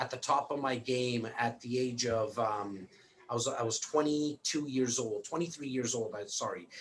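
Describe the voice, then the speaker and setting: Moderate pace in a Canadian accent, with noticeable background noise. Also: man. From Toronto, Canada. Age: 40s. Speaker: real estate broker and investor. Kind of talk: interview. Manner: repetitive, restarting words often.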